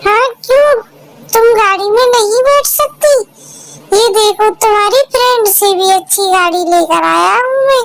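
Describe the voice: In a cartoonish character voice pitched extremely high, a woman speaks at a fairly slow pace.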